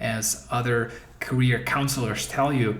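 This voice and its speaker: In a room with audible echo and noticeable background noise, a man speaks at medium pitch in a monotone, flat intonation. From Eastern Europe. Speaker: career coach. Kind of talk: course introduction. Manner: halting.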